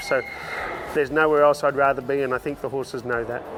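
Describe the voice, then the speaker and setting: A man with an Australian accent speaks very fast in a monotone with flat intonation. Noticeable background noise is present. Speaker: horse trainer and entertainer. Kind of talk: interview answer.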